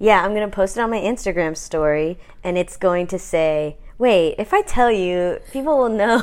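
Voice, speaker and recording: A woman speaks at a moderate pace and medium pitch, with ordinary pitch variation. It is an ordinary speaking voice, with hardly any pauses. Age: 30s. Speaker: podcast host. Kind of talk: casual chat.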